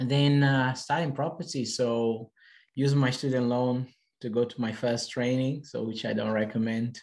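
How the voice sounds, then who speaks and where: At a moderate pace, a man talks at medium pitch with fairly even intonation. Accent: Portuguese. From Portugal. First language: Portuguese. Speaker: property investor. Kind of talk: podcast interview. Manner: halting.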